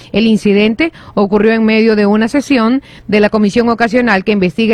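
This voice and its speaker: At a moderate pace, a woman with medium pitch talks in an unremarkable speaking voice. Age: 30s. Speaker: radio host. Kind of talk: news reading; casual chat.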